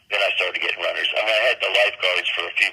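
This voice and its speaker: Noticeable background noise sits behind a man speaking in an American accent. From Miami Beach, Florida. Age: 70s. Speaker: songwriter and streak runner. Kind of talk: interview. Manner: halting.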